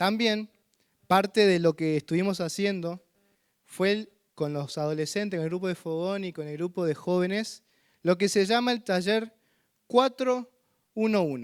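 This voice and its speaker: With a San Luis accent, a man with a high voice speaks at a fairly slow pace with ordinary pitch variation and long, frequent pauses, recorded very cleanly against a silent background. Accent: drawling San Luis. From Argentina, San Luis. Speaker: visiting missionary preacher. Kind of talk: sermon. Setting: church.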